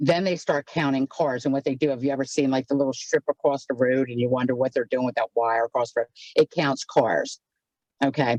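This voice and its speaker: Speaking at a fairly quick pace, a woman with a very deep, low pitch keeps her intonation fairly even, in dry, close sound with no echo. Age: 60s. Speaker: county council member. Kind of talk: community meeting explanation. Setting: video call from her car.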